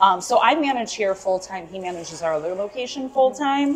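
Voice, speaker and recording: There is light noise in the background. A woman talks at a moderate pace, her pitch swinging very widely. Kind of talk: interview answer. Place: cafe.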